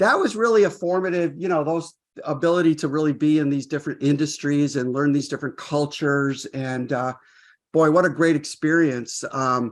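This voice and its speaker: At a moderate pace, a man speaks with a fairly high pitch and ordinary pitch variation over a quiet background. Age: 60s. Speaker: business founder and former learning executive. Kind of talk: podcast interview. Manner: halting.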